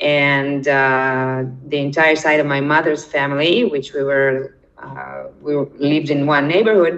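A woman speaks at a fairly slow pace in a very deep, low voice, her intonation fairly even. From Israel, born in Ukraine. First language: Russian. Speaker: documentary participant, immigrant. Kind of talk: interview. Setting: remote call from Israel.

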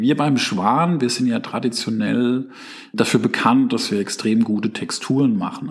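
At a moderate pace and a medium pitch, a man speaks with fairly even intonation over noticeable background noise. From Germany, Palatinate. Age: 40s. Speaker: chief digital officer. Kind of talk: interview.

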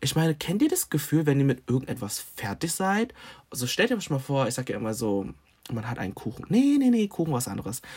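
The speech moves at a fairly quick pace in a sing-song manner. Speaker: podcaster and content creator. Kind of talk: casual monologue.

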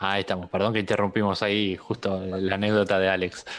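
A man with an Argentine accent, very deep and low in pitch, monotone and flat in intonation, at a fairly quick pace. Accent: Argentine Spanish (Rioplatense). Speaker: podcast host. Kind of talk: casual chat.

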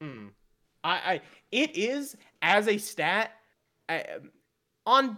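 A man projects a raised voice at a high pitch, bright and sharp in tone. His pitch swings very widely. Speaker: esports commentator. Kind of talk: casual chat. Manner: animated, loud hype.

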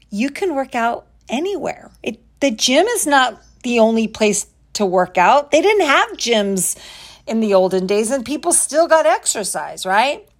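Animated and upbeat, the voice moves at a fairly slow pace with very wide pitch swings on a very clean recording with a silent background. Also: woman, high pitch for a woman. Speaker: fitness coach podcast host. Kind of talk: pep talk. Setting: home recording with window open. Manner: animated, upbeat, motivational; direct, chatty, self-questioning.

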